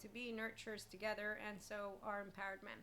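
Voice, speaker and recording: Over noticeable background noise, a woman talks at a very fast pace with a fairly high pitch and a flat, monotone delivery. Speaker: life coach and podcast host. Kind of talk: casual spiritual self-help talk.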